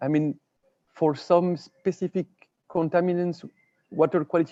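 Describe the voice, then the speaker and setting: A man speaks with a French accent in a dark, mellow tone. The sound is dry and close with no echo, over a quiet background. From France. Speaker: water and sanitation expert. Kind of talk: webinar presentation. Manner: halting, with frequent repetitions.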